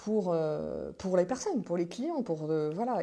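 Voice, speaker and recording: A woman speaks in a dark, mellow tone with lively intonation. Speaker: business coach and numerologist. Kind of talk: live stream talk. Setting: live video stream. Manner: fast; halting, many fillers.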